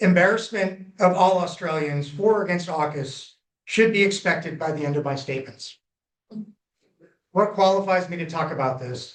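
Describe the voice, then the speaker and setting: Talking at a moderate pace, a man has a high voice with ordinary pitch variation. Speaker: former nuclear reactor operator, public inquiry presenter. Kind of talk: public hearing testimony. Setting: public hearing with audience.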